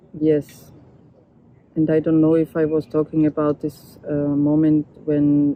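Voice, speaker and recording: With a German accent, a woman speaks very slowly in a very deep, low pitch and a monotone, flat intonation. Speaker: photographer and documentary artist. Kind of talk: interview testimony. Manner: halting.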